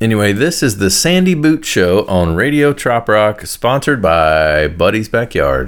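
A man's fairly low voice at a fairly slow pace, with very wide pitch swings, very even loudness and hardly any pauses. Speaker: radio show host and musician. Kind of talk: laid-back radio DJ patter between songs, rambling asides. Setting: studio. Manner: loose, chatty and self-deprecating, drifting into personal anecdotes; casual, filler-laden delivery with frequent 'uh' and 'like'.

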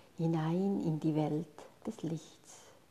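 The voice has a calm, soothing tone and moves at a very slow pace. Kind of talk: guided meditation. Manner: slow, calm, soothing pace with long pauses between instructions; soft, gentle and hushed, addressing listener as 'du'.

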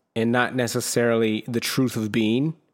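A man's plain, everyday voice at medium pitch and moderate pace, on a very clean recording with a silent background. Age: 30s. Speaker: solo podcast host. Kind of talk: personal monologue on self-help. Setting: solo video recording on camera. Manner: casual, with frequent fillers and repetitions.

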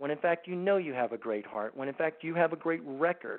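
This man has a normal speaking voice with a fairly high pitch. He talks at a moderate pace with lively intonation. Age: 60s. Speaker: anti-trafficking organization founder, former Marine and CIA officer. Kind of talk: radio talk show interview. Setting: phone call.

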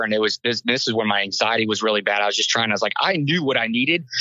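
Medium pitch defines this man's voice. He rushes along very fast. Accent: American. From US South, Inverness, Florida. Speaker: military veteran. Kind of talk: testimony.

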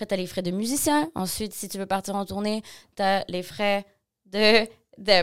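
On a very clean recording with a silent background, a woman with a medium pitch and a normal speaking voice speaks at a moderate pace. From Quebec, Montreal. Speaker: singer-songwriter. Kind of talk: interview.

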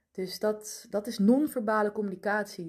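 A woman is speaking. Her pace is very slow. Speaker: podcast host and human design coach. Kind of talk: solo podcast monologue. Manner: calm, relaxed.

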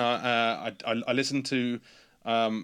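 A man speaks with an English accent on a very clean recording against a silent background. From England. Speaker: pedal company designer and marketer. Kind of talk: casual interview chat.

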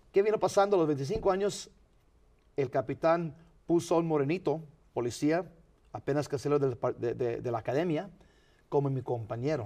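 With lively intonation and a dark, mellow tone, a man speaks at a fairly high pitch and moderate pace, leaving long, frequent pauses over a quiet background. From Los Angeles County, California (San Fernando), Mexican parents. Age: 50s. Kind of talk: interview.

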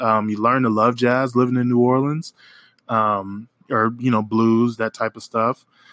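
A plain, everyday voice from a man with an American accent, medium in pitch and moderate in pace, in a very clean recording with a silent background and a dry, close sound with no echo. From Oklahoma. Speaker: podcast host, music reviewer. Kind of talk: casual solo music review.

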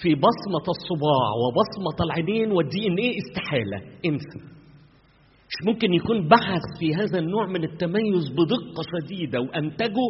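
Over noticeable background noise, a man with an Egyptian accent and a high voice speaks at a fairly slow pace with lively intonation. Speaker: pastor. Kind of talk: sermon.

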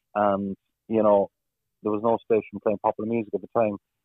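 With a Cork accent, a man talks in a fairly low, monotone voice with flat intonation. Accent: Cork Irish. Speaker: football commentator and radio presenter. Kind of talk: interview. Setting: radio studio.

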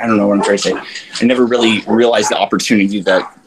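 Noticeable background noise behind speech with an American accent. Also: man. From Florida. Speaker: ultramarathon runner. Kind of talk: casual chat. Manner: casual, many fillers.

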